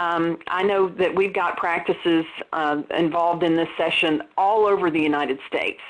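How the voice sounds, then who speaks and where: At a moderate pace and very even loudness, a woman speaks with a slight Southern US accent. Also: fairly low pitch for a woman. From US South. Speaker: dental practice consultant. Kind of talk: webinar presentation. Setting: webinar.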